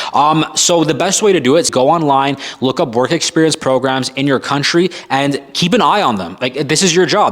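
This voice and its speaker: Energetic in tone, a man speaks with a Canadian accent at a fairly high pitch. Noticeable background noise runs underneath. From Canada. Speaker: firefighter career coach. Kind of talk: Q&A monologue to camera. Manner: casual, energetic.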